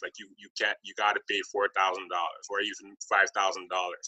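The background stays quiet. A man talks. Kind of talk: interview conversation. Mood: explanatory, businesslike. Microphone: webcam.

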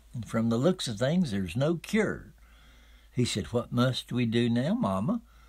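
Over a silent background in a very clean recording, a man with an Appalachian accent speaks somewhat breathily at a fairly slow pace, his pitch swinging very widely. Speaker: storyteller. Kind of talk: folk tale telling.

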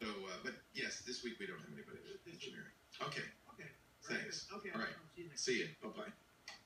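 Very fast speech from a man, with noticeable background noise. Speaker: radio show host. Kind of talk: casual on-air talk with a colleague.

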